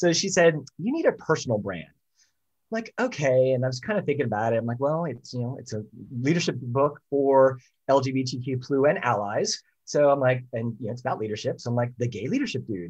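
With lively intonation and a fairly quick pace, a man talks in a somewhat breathy voice against a quiet background. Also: medium pitch for a man. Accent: American. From US Northeast, Philadelphia. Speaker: leadership consultant and author. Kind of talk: interview.

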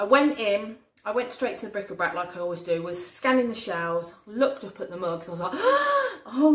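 This woman talks at a fairly quick pace. Room echo can be heard in the recording. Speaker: haul vlogger. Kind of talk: casual vlog chat. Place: kitchen.

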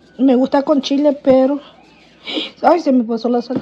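The woman speaks at a moderate pace. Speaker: mother vlogger. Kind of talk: casual vlog chat. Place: kitchen. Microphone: phone near.

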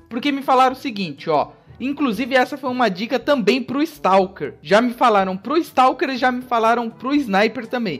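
Speaking at a moderate pace with hardly any pauses, this voice has lively intonation and an animated tone. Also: man, extremely high pitch for a man. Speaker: gaming YouTuber. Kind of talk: gameplay commentary. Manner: casual, animated.

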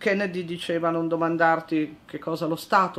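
Moderately paced speech from a woman with a fairly low pitch. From Italy, Turin (Piedmont). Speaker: lawyer, newly appointed equality adviser. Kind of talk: interview. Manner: hesitant, many fillers. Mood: calm, earnest.

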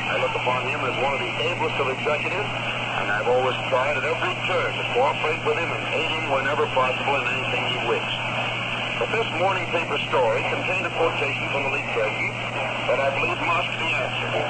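A man talks very fast while loud background noise fills the clip. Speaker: radio announcer. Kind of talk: radio commentary statement. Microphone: old recording.

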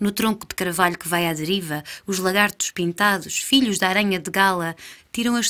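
This woman's voice has a bright, sharp tone and a medium pitch. Her delivery sounds theatrical. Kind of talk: staged dialogue reading of surrealist verse, alternating with another voice. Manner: dreamlike, deliberate, theatrical.

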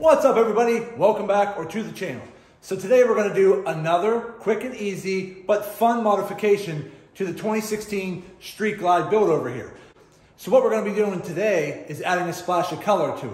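The speech moves at a fairly quick pace with ordinary pitch variation. Audible room echo can be heard. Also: man, high pitch for a man. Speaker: motorcycle DIY vlogger. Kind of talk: casual vlog chat. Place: garage. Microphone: phone near.

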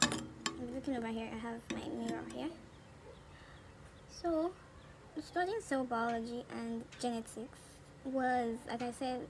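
Noticeable background noise sits behind a woman talking at a fairly slow pace. She leaves long, frequent pauses. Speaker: beauty vlogger. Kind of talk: casual talk to camera, makeup tutorial. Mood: cheerful, relaxed. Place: home room. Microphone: phone near.

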